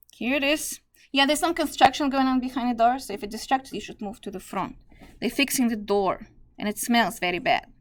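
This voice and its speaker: A woman with a non-native accent talks very fast in a high voice, her intonation lively and her loudness swinging widely. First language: not English. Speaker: math teacher. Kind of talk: lecture. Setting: classroom.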